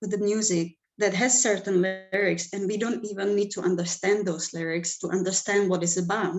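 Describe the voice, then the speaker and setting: A woman with a Czech accent talks with music in the background. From Czech Republic. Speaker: music manager and event producer. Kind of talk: panel discussion.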